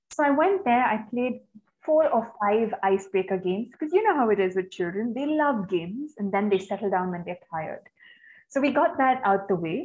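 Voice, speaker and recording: Against a quiet background, a woman talks fairly quickly with very wide pitch swings. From India, Chennai; India. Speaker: peace educator and researcher; webinar presenter. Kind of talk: webinar presentation; presentation talk. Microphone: webcam.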